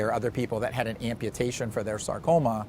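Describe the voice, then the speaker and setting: At a very fast pace, a man talks at medium pitch. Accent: Pittsburgh. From Pittsburgh, Pennsylvania. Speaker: cancer surgeon. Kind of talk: interview.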